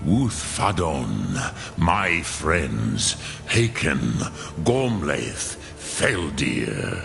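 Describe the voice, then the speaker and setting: Doing a put-on character voice, a man speaks very slowly at a very deep, low pitch over loud background noise. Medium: machinima. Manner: slow, measured, archaic.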